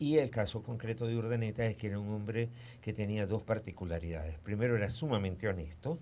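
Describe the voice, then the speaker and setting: A man's dark, mellow tone at a fairly low pitch and a very fast pace. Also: ordinary pitch variation. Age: 60s. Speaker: historian. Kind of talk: radio interview.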